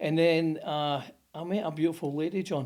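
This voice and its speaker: In a strong Scottish accent, a man speaks with a fairly high pitch. The recording is very clean, with a silent background. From Scotland, Motherwell (Lanarkshire). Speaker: plumbing company founder. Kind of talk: interview storytelling.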